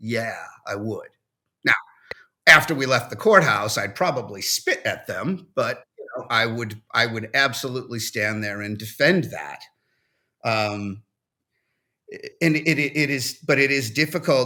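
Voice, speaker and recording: With a New England accent, a man speaks at a fairly slow pace in a medium pitch, using ordinary pitch variation and a bright, sharp tone. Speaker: First Amendment attorney. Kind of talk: panel discussion. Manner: halting.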